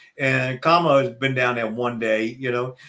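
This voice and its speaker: With a Southern US accent, a man speaks at a medium pitch. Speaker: retired NFL referee, speaker. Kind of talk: podcast interview. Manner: halting, many repetitions.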